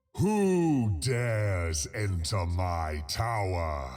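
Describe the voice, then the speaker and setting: Bellowing in a put-on character voice with a very deep, low pitch, a man speaks at a very slow pace over light background noise. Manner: roaring.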